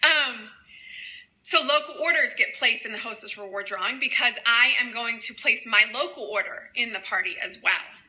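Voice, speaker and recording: Big swings in loudness mark this woman's high voice, which has ordinary pitch variation over noticeable background noise. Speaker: direct sales presenter. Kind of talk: training livestream. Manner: fast.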